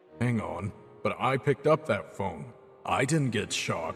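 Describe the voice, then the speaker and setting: A man's put-on character voice at a medium pitch, full of very wide pitch swings, with clear music in the background. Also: moderate pace. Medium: audio drama. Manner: blunt, gruff.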